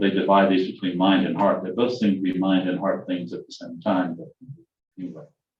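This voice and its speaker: Music plays in the background as a man speaks with a very deep, low pitch. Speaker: church class teacher. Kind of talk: lecture. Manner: fast.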